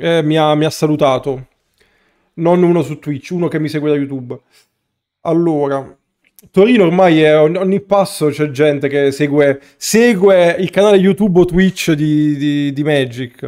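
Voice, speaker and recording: A man speaks at a fairly slow pace with ordinary pitch variation. He leaves long, frequent pauses against a quiet background. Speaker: streamer, card game player; streamer. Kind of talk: live stream gameplay chat. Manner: casual, conversational. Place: home room.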